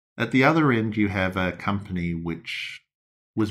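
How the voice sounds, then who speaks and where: With an Australian accent and lively intonation, a man speaks at a moderate pace on a very clean recording with a silent background. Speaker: hedge fund manager. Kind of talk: interview. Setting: in person.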